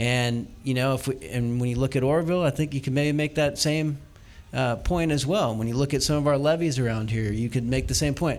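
A man with an American accent speaks in an ordinary speaking voice at medium pitch and a fairly quick pace. His loudness stays very even, with ordinary pitch variation. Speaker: state legislator. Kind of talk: panel discussion before live audience. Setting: basement bar venue with live audience.

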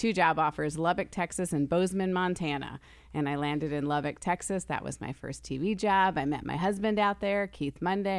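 Recorded very cleanly against a silent background, a woman with an American accent speaks fairly quickly with hardly any pauses. She has an unremarkable speaking voice, fairly low in pitch, with ordinary pitch variation. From New York / New Jersey area. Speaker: TV news director and anchor. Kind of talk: casual chat.

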